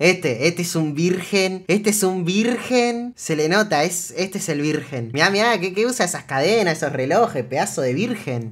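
Speaking in a Rioplatense accent at a moderate pace, the voice sounds animated, with lively intonation and hardly any pauses. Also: man, high pitch for a man. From Argentina. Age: 20s. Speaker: streamer. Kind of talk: reaction stream commentary. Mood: amused, joking. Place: home room.

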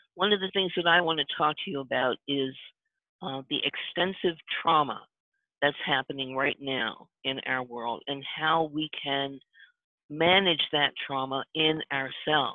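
Against a quiet background, a woman with an American accent and a very deep, low pitch speaks at a fairly slow pace with ordinary pitch variation, in a dry sound with no echo. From US Mid-Atlantic (Baltimore). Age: 70s. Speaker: workshop facilitator and energy worker. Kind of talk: workshop teaching. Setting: video call. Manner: warm, humorous. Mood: calm, earnest. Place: home room. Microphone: headset.

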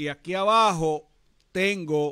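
Against a quiet background, a man with a Puerto Rican accent projects a raised, animated voice with a bright, sharp tone. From Puerto Rico, San Juan. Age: 60s. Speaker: security industry trainer and live-stream host; security industry trainer, live-stream host. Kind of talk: live-stream talk to viewers. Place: studio. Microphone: studio mic.

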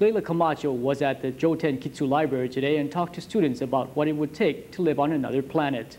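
A man talks at a very fast pace with hardly any pauses, his pitch fairly high. Light background noise sits under his voice. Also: ordinary pitch variation. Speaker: news anchor. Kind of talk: formal newsreading, polished TV anchor delivery with puns. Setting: studio. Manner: formal; smooth, scripted, steady broadcast pace. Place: studio. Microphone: lapel.

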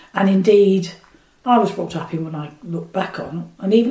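A woman speaks with lively intonation at a fairly low pitch. Noticeable background noise sits behind her. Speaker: retired social worker. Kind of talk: interview. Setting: home kitchen.

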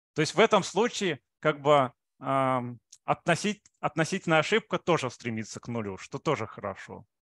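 A man's fairly high voice, with very wide pitch swings and big swings in loudness, in dry, echo-free sound against a quiet background. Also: moderate pace. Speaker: mathematics researcher. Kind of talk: lecture. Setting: video call. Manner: halting, with frequent filler sounds. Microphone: video call.

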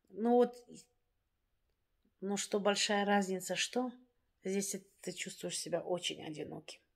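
Over a quiet background, a woman at a medium pitch speaks at a very slow pace with fairly even intonation and long, frequent pauses. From Dagestan, Russia. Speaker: vlogger; vlogger telling her life story. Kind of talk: casual monologue to viewers; casual vlog chat. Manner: hesitant, with fillers. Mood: reflective, somewhat sad. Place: home room. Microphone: phone near.

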